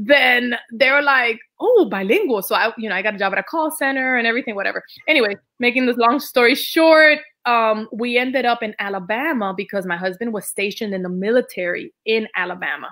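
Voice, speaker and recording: Bright and sharp in tone, a woman speaks in a Dominican accent at a fairly quick pace. Her pitch is fairly high and her intonation lively. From Dominican Republic. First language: Spanish. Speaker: Spanish teacher. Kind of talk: casual interview.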